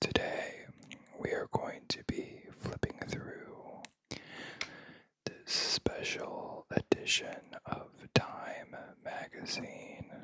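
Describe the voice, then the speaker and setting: Someone whispers in an American accent at a very slow pace. Long pauses come often. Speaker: ASMR creator. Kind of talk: ASMR whispering. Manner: whispering; soft-spoken.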